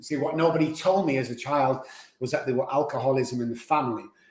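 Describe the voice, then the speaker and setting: A man with a Mancunian accent talks at a fairly quick pace, his fairly high-pitched voice keeping fairly even intonation. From Manchester, England. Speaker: addiction doctor. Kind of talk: testimony.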